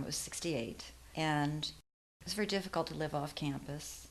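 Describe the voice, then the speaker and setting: In an American accent, a woman with a normal speaking voice talks at a fairly quick pace, her fairly low pitch carrying lively intonation. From western New York (near Buffalo). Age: 60s. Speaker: interviewee, mentor. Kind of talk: interview, life story.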